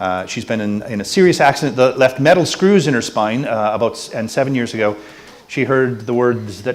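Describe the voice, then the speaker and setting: With an American accent and lively intonation, a man talks at a medium pitch and a fairly quick pace amid noticeable background noise and audible room echo. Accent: non-Irish, American. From United States. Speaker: panel moderator, person with MS. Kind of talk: conference panel hosting. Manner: casual, hesitant with fillers.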